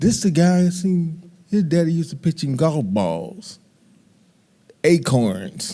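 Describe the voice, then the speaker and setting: Dark, mellow tone in an American accent, with very wide pitch swings. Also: man. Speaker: youth baseball coach. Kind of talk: testimony. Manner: loud.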